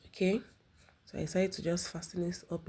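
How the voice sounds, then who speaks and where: A woman's somewhat breathy voice, dark and mellow in tone. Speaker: sewing tutorial creator. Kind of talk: tutorial.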